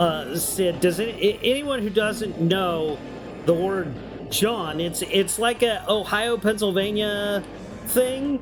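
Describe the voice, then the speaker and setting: The speaker has a Southern US accent and talks at a very slow pace. Music plays in the background. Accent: southern drawl picked up. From New York. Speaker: video game streamer. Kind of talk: casual live stream chat. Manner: animated.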